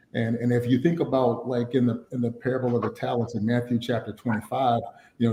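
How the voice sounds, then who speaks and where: In a dark, mellow tone, a man speaks somewhat breathily with monotone, flat intonation. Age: 50s. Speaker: financial planning speaker. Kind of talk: webinar teaching talk. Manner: many fillers and repetitions.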